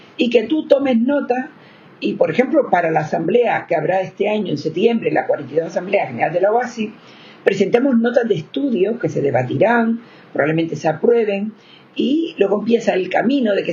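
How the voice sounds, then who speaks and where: Noticeable background noise surrounds a woman at a medium pitch. She talks at a fairly quick pace with very wide pitch swings. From Spain, Canary Islands (Gran Canaria). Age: 70s. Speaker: victims' rights advocate. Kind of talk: interview.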